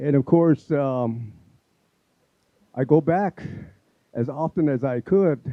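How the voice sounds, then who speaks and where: Speaking very slowly with long, frequent pauses, a man uses a fairly high pitch with ordinary pitch variation. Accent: Southwestern US. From Apache reservation, US Southwest. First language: Apache. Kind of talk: community event speech. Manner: halting, many fillers.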